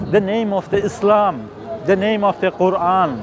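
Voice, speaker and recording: Amid noticeable background noise, a man talks at a fairly slow pace in a high pitch. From Iran, Qashqai. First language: Turkish (Qashqai Turkic). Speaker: protest reporter / vlogger. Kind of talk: street interview at a protest. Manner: impassioned.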